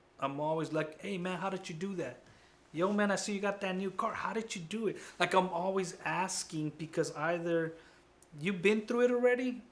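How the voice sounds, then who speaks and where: Noticeable background noise sits behind a man with high pitch and an animated tone. He talks at a moderate pace with ordinary pitch variation. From US, child immigrant from Guatemala. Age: 40s. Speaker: college counselor. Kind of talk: interview. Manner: casual, animated.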